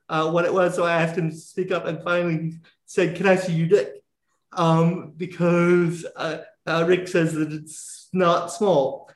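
In an American accent, a man talks fairly slowly with a high pitch and monotone, flat intonation. Audible room echo surrounds his voice. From US South. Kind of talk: casual interview.

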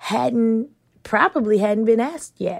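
This woman has a fairly high pitch and a normal speaking voice. She talks at a moderate pace. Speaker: biologist and professor. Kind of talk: recorded interview about career.

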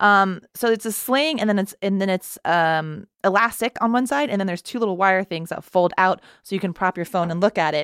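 In an ordinary speaking voice with an American accent, a woman talks fairly quickly with hardly any pauses, at a medium pitch and with ordinary pitch variation, on a very clean recording with a silent background and a dry, close sound with no echo. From Texas. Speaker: choreographer and actress. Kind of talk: casual chat.

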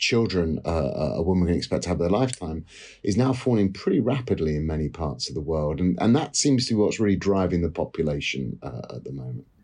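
A man with a British accent speaks at a very deep, low pitch in a dark, mellow tone. His intonation is lively, and the background is quiet. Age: 50s. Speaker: economics professor. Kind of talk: interview.

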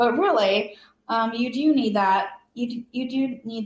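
Somewhat breathy, a woman with a fairly high pitch talks at a very slow pace with ordinary pitch variation. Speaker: cancer survivor and patient advocate. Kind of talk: interview.

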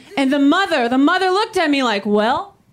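A woman with an American accent talks at a fairly quick pace in a high pitch with very wide swings. Background noise is noticeable. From Salvadoran family, US. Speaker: stand-up comedian. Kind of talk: stand-up.

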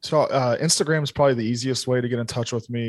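A man speaks with a medium pitch and fairly even intonation. It is an ordinary speaking voice. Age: 30s. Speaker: entrepreneur and business consultant. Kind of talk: casual chat.

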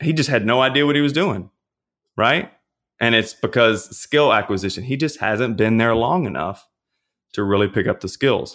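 In a very clean recording with a silent background, a man with a Louisiana accent speaks at a moderate pace in a medium pitch with lively intonation. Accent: Louisiana Southern US. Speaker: personal trainer and pastor. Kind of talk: casual interview.

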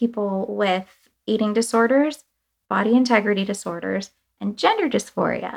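A woman with an American accent and an unremarkable speaking voice talks at a moderate pace and fairly high pitch, on a very clean recording with a silent background. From US, Cuban family. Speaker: artist and communications director. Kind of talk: interview.

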